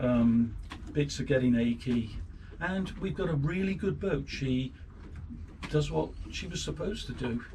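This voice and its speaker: Fairly slow speech in an English accent, with very wide pitch swings and long, frequent pauses. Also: man, medium pitch for a man. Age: 60s. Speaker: boat owner and amateur boat builder. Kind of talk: casual interview. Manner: hesitant, with fillers.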